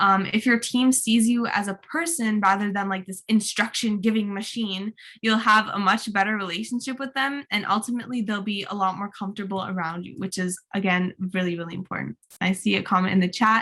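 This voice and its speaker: A woman's tone is bright and sharp. She talks at a fairly quick pace with hardly any pauses. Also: medium pitch for a woman, ordinary pitch variation. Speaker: youth leadership workshop presenter. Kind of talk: online workshop presentation. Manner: fast; animated.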